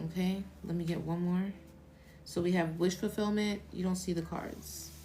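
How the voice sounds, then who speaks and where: In a room with audible echo, a soft-spoken woman with a fairly low pitch speaks at a moderate pace in a monotone, flat intonation. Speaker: tarot reader. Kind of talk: live stream tarot reading. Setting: live stream. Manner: casual.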